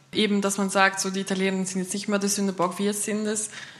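A woman's medium-pitched voice holds a monotone, flat intonation amid noticeable background noise. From Switzerland, St. Gallen Rhine Valley. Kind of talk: panel discussion.

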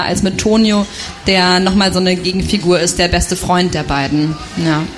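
At a moderate pace and medium pitch, a woman speaks with fairly even intonation amid noticeable background noise and audible room echo. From Thuringia, eastern Germany. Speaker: novelist. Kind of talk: reading aloud; interview.

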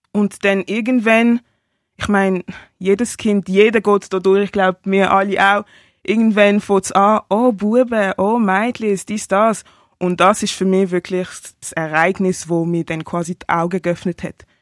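In a very clean recording with a silent background and a dry, close sound with no echo, a woman speaks fairly slowly in a normal speaking voice at medium pitch with fairly even intonation. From Basel, Switzerland. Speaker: rapper and singer sharing experiences of racism. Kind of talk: personal testimony.

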